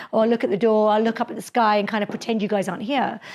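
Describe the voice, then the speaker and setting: Here a woman talks very fast. Her pitch is fairly high. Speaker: dentist and public speaking lecturer. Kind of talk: lecture.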